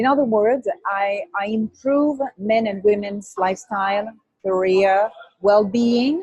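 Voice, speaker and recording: A woman with a French accent speaks at a very slow pace and fairly high pitch. Her voice is somewhat breathy, with ordinary pitch variation. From France, Brittany. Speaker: image consultant. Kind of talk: interview.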